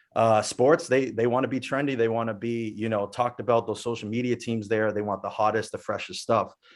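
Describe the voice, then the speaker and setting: A man with an unremarkable speaking voice talks at a fairly quick pace, with hardly any pauses, at a medium pitch. His intonation stays fairly even against a quiet background. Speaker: music producer. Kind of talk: webinar panel discussion.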